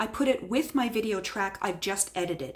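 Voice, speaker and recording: At a moderate pace, a woman speaks in a fairly high voice with very wide pitch swings. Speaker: craft tutorial youtuber. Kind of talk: tutorial. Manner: gets loud when excited; voice rises when excited.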